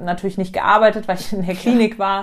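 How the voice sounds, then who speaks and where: At a fairly quick pace, a woman talks in a monotone, flat intonation. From Munich, Bavaria. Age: 20s. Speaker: workshop leader. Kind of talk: casual interview. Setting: host's living room.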